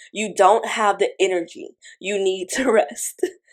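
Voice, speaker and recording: A woman's booming, put-on character voice at a medium pitch and moderate pace. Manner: calm, soothing, telling someone to rest.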